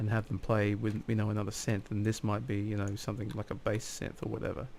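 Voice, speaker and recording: With a fairly low pitch, a man talks at a fairly quick pace. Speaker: hobbyist music producer video diarist. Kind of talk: casual video diary tutorial. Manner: hesitant with many fillers; fast.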